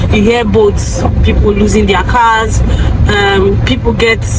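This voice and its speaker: Loud background noise fills the clip as a woman talks at a moderate pace, her sound dry with no echo. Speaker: vlogger. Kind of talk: casual vlog chat. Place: car. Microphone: phone near.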